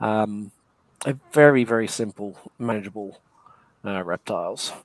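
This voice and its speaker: A man speaks with an American accent at a moderate pace. His intonation is fairly even, and the sound is dry and close with no echo. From England. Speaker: reptile breeder. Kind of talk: livestream interview.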